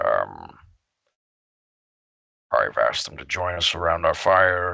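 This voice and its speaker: A man uses a raspy, put-on character voice and speaks at a fairly slow pace. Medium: actual play. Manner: polite, measured.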